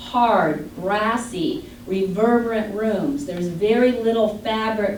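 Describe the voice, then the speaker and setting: A fairly high-pitched woman's voice with a Midwestern US accent and ordinary pitch variation, amid audible room echo and noticeable background noise. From Michigan. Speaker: audiologist. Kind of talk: lecture.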